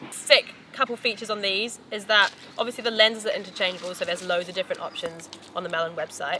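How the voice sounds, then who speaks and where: A woman talks very fast at a medium pitch with ordinary pitch variation. Noticeable background noise runs behind her. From New Zealand. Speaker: professional mountain biker. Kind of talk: casual promotional talk. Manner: casual, hesitant with fillers.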